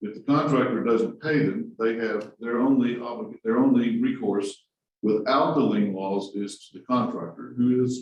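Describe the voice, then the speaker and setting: Vocal fry is heard in this man's voice. His pitch sits at a medium level. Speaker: construction law panelist. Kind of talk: panel discussion.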